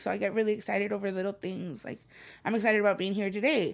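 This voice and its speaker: A woman speaks with a Spanish accent. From El Salvador, raised in Los Angeles. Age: 30s. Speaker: spoken word poet and author. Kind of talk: casual interview. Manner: animated.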